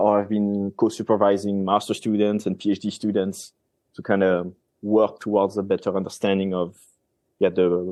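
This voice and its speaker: Monotone, flat intonation from a man with a French accent. His fairly low voice moves at a fairly quick pace. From France. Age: 30s. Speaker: marine scientist. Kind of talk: podcast interview. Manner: casual, with fillers and self-corrections.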